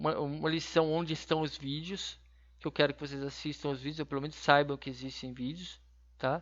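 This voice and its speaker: The delivery is quite fast, with a flat, monotone intonation. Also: man, fairly high pitch for a man. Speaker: university lecturer. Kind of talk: online class lecture. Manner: halting, many fillers.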